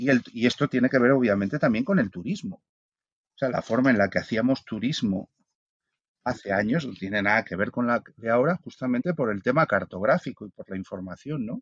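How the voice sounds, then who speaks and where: Speaking at a fairly quick pace with lively intonation, a man with a medium pitch is heard against a quiet background in a dry, close sound with no echo. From Spain. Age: 50s. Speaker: philosopher and author. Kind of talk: casual interview. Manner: halting, many repetitions.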